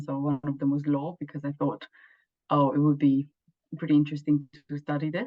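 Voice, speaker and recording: A woman with a very deep, low voice speaks fairly quickly in a Romanian accent, her intonation monotone and flat. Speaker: law student. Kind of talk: interview. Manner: halting.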